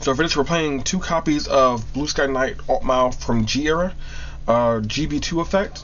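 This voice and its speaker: A man with a fairly high-pitched voice speaks in a room with audible echo. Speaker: card game YouTuber. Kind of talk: tutorial. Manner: halting; casual.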